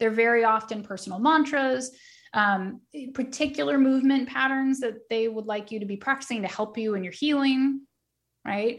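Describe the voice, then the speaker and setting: Recorded very cleanly with a silent background, a woman with a plain, everyday voice speaks at a moderate pace, her fairly high pitch showing ordinary variation. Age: 40s. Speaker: Pilates instructor and wellness studio founder. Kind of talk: casual interview chat.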